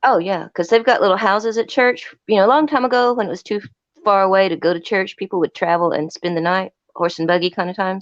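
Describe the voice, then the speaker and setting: A woman talks at a very fast pace. The sound is dry and close, with no echo. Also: medium pitch for a woman, ordinary pitch variation. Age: 60s. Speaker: live stream caller. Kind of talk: casual chat.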